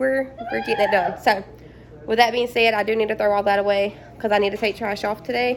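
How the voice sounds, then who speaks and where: A woman talks at a very fast pace in a fairly high voice. Her intonation is fairly even, and background noise is noticeable. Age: 20s. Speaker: stay-at-home mom vlogger. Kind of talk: casual vlog talk. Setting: at home. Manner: casual, hesitant with repetitions.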